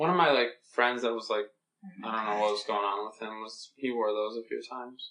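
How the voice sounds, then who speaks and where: Using a plain, everyday voice, a man talks at a fairly quick pace in a medium pitch with fairly even intonation. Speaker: podcast co-host, veterinary field. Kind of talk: casual podcast conversation.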